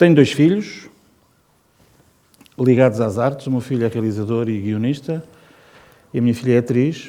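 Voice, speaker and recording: The pace of this man's speech is moderate. His pitch stays medium. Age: 60s. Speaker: designer and illustrator. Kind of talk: informal talk to students. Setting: presidential palace event with student audience.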